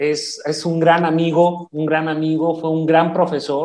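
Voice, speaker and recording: The recording is dry and close with no echo, carrying a man's fairly high voice. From Chihuahua, Mexico. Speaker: retired army officer, podcast co-host. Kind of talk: casual chat.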